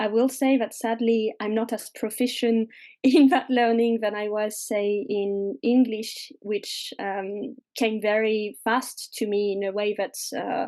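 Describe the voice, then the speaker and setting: Over a quiet background, a woman with a French accent speaks fairly slowly, her pitch fairly high, her tone dark and mellow, and her intonation fairly even. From France, mountains. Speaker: witch and fairy doctor. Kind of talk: podcast interview.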